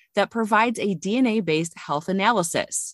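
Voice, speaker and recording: A woman speaks at a moderate pace in a normal speaking voice with lively intonation, the sound dry and close with no echo. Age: 30s. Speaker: podcast host. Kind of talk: scripted narration; interview.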